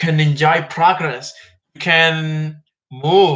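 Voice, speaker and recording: Speaking at a very slow pace, a man has a fairly high pitch for a man. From Mexico. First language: Spanish. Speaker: history vlogger. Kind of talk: informal history talk. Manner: halting, with fillers.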